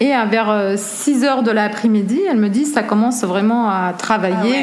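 Amid noticeable background noise and audible room echo, a woman speaks at a fairly high pitch and moderate pace with ordinary pitch variation. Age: 30s. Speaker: photographer. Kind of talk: interview.

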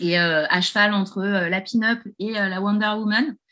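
A woman speaks at a very slow pace with a medium pitch, ordinary pitch variation and a quiet background. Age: 40s. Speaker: virtual assistant and crypto enthusiast. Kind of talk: casual interview. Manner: hesitant, many fillers.

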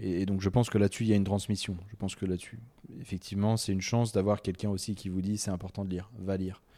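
A man's very deep, low pitch with a dark, mellow tone and monotone, flat intonation. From French Alps, Haute-Savoie. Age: 30s. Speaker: writer. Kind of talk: casual interview. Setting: at his home by a lake. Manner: halting, many repetitions and fillers.

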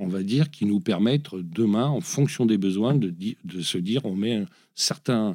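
In a fairly low, dark, mellow voice, a man speaks fairly slowly with lively intonation on a very clean recording with a silent background. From France, Lyon. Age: 50s. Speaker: NGO director. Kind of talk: interview. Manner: halting.

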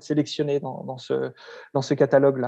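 At a fairly slow pace, a man speaks in a fairly high voice with a dark, mellow tone. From France, Lyon. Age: 30s. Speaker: book publisher. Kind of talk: interview. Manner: halting, many repeated words.

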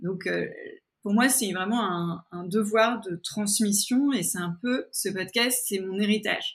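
At a very slow pace, a somewhat breathy voice with ordinary pitch variation comes through on a very clean recording with a silent background. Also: woman, medium pitch for a woman. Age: 40s. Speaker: podcaster and entrepreneur. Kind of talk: interview conversation. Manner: hesitant, many fillers and repetitions.

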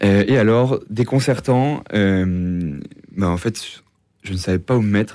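A very slow-paced man with a dark, mellow tone and ordinary pitch variation, on a very clean recording with a silent background. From Normandy, France. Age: 20s. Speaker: engineering consultant and author. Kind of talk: interview testimony. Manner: halting, many hesitations and repeated words.

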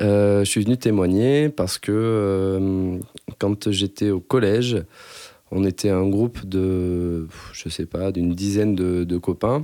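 Words come out at a very slow pace. The voice has a dark, mellow tone. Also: man, fairly low pitch for a man, ordinary pitch variation. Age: 30s. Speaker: computer science researcher. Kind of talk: interview testimony. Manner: halting, many fillers.

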